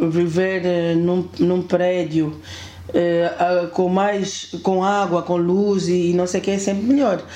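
A woman's fairly low voice, very slow in pace, with fairly even intonation, very even loudness, audible room echo and noticeable background noise. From Angola, Kwanza Sul and Luanda. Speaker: building manager. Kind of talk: casual chat. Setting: at home.

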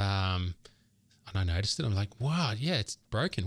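A man's somewhat breathy, fairly low voice with very wide pitch swings, in a dry, close sound with no echo. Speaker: podcast co-host, software founder. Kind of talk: casual chat. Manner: fast.

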